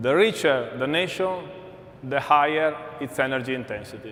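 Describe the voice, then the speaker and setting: A man with an Italian accent, fairly slow pace, fairly high pitch and ordinary pitch variation, with audible room echo. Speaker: energy company executive. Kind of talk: conference keynote.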